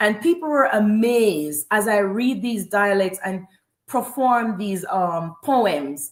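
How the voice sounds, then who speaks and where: This woman has a fairly high pitch and a Jamaican accent. She speaks at a very slow pace. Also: lively intonation. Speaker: spoken word poet. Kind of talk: interview. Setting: live stream.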